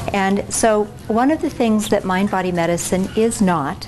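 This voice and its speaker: Soft-spoken, a woman with a medium pitch and ordinary pitch variation talks at a moderate pace amid noticeable background noise and audible room echo. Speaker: physician and keynote speaker. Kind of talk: lecture. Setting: stage with audience. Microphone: no microphone, recorder only.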